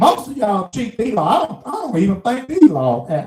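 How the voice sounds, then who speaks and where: With a Mississippi accent, a man speaks in very wide pitch swings. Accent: Southern US (Mississippi). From US South, small town Mississippi. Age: 60s. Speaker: truck driver vlogger. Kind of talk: casual monologue rant.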